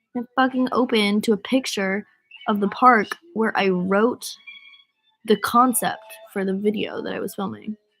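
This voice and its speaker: With music in the background, a woman with an American accent speaks in a fairly high pitch and fairly even intonation, leaving long, frequent pauses. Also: moderate pace. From US Northeast, Rhode Island. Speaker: singer livestreaming to fans. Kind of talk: casual livestream chat. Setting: livestream from bed. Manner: casual, filler-heavy.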